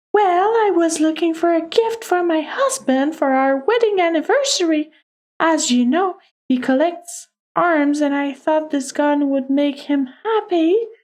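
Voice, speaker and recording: Someone performs a put-on character voice. The pace is moderate. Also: female-sounding voice, extremely high pitch for a woman. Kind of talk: valley girl speech. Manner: chirpy and bubbly.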